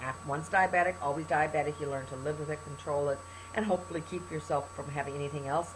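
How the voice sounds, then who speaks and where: Very fast and animated, a woman speaks in a very deep, low pitch with very wide pitch swings. Noticeable background noise is present. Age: 60s. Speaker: health testimonial vlogger. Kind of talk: testimony.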